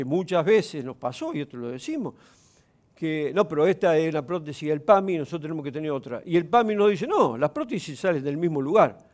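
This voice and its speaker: A man with an unremarkable speaking voice, fairly high in pitch with ordinary pitch variation, at a fairly quick pace, on a very clean recording with a silent background. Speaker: provincial legislator. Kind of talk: TV interview.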